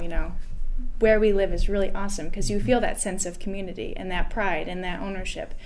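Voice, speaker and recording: Very fast speech from a woman with an American accent, fairly even in intonation, over light background noise. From Finger Lakes, upstate New York (Rushville); New York. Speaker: chamber of commerce staff; podcast guest. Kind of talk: casual interview. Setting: studio. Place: studio.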